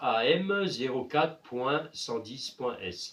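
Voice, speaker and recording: A man with a slight Alsatian accent speaks with lively intonation. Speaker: appliance repair youtuber. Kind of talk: repair tutorial. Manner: hesitant, many filler sounds.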